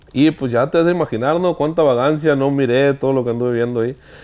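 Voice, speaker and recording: A man talks at a very fast pace in a dark, mellow tone. The background is quiet. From Sonora, Mexico (Hornos, Yaqui); Sonora, Mexico. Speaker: regional Mexican singer; interview guest. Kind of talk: casual interview. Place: studio.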